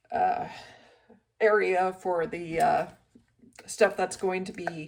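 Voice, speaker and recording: A woman speaks at a medium pitch in a monotone, flat intonation. Her pace is very slow. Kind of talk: casual vlog talk to camera.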